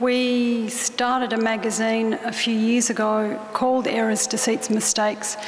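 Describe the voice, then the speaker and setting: A woman with an Australian accent talks in a fairly high, flat monotone, with audible room echo and noticeable background noise. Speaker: artist. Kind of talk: talk to an audience. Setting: stage with audience. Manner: halting.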